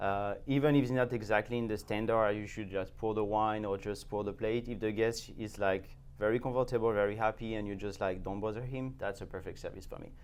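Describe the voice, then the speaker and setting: A man with fairly low pitch talks at a fairly quick pace with fairly even intonation and hardly any pauses. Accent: French. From France, Champagne. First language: French. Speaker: sommelier. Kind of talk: interview.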